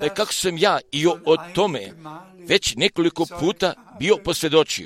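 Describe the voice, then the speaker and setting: Dry and close with no echo, the recording captures a man at a high pitch. He talks fairly slowly with ordinary pitch variation. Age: 80s. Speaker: preacher. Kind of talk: sermon.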